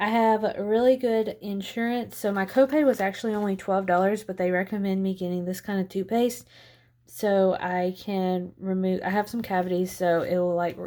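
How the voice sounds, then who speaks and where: Soft-spoken and dark, mellow in tone, a woman keeps a moderate pace and fairly even intonation on a very clean recording with a silent background. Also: medium pitch for a woman. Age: 20s. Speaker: lifestyle budgeting vlogger. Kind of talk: casual vlog tutorial.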